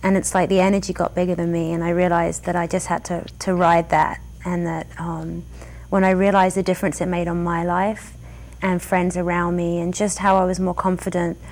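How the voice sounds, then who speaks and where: A woman with an English accent at a fairly quick pace. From England. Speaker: yoga studio owner and teacher. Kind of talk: interview.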